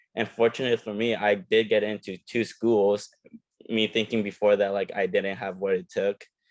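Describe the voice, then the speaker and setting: This man has a fairly low pitch and a non-native accent. His intonation stays fairly even. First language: not English. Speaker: physical therapy student. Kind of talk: panel discussion.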